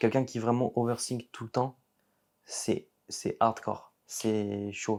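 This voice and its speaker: A man at medium pitch with ordinary pitch variation, a very slow pace and big swings in loudness. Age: 20s. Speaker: competitive bodybuilder. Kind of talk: podcast interview.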